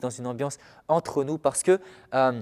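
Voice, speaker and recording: At a fairly quick pace, a man talks with medium pitch and fairly even intonation. The sound is dry and close with no echo, a very clean recording with a silent background. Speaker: pastor. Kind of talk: sermon. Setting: filmed church service at a small table. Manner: calm and soft-spoken.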